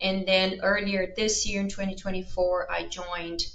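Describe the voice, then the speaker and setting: With a Brazilian accent, a woman speaks at a moderate pace and medium pitch, her voice carrying audible room echo. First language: Portuguese. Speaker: veterinary researcher. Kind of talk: interview.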